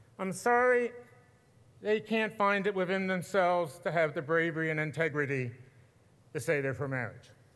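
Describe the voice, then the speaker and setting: At a moderate pace, a man with a high pitch and lively intonation speaks with long, frequent pauses. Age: 60s. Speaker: activist. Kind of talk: speech. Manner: impassioned.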